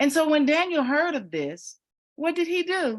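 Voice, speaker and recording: A woman with a high pitch speaks at a fairly slow pace. Her tone is animated, with ordinary pitch variation. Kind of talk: bible teaching talk.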